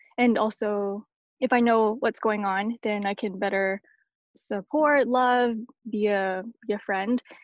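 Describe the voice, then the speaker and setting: A plain, everyday voice from a woman with a Canadian accent, fairly high in pitch, fairly even in intonation, at a fairly slow pace. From Canada. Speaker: blogger and churchgoer. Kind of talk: casual chat.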